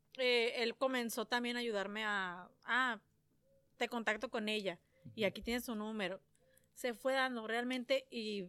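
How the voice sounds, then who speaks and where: A woman's bright, sharp tone at a fairly high pitch, fairly slow with fairly even intonation, on a very clean recording with a silent background. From San Luis Río Colorado, Sonora, Mexico. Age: 30s. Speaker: entrepreneur. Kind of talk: casual interview chat. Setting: on a ranch. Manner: talkative.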